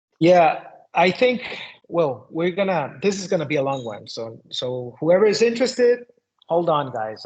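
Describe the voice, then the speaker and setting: This man speaks with a Spanish accent. His pace is moderate. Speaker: shaman and occult teacher. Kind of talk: interview conversation.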